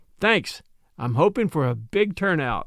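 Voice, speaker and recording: Very wide pitch swings stand out in a very clean recording with a silent background. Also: man. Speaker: podcast narrator and host. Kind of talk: casual direct address to listeners. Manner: careful diction.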